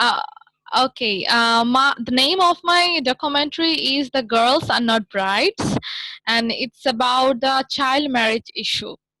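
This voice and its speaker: A woman's high, raised and projected voice with a non-native accent, lively intonation and a fairly slow pace, in a dry, close sound with no echo. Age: 20s. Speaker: documentary filmmaker. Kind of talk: interview. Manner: halting, many fillers. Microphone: technical issues.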